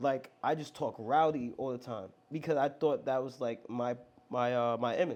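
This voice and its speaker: At a moderate pace, a man with an American accent talks at a medium pitch. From Long Island, New York. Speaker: worship pastor. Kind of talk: testimony. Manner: casual, animated; loud, rowdy when riled up.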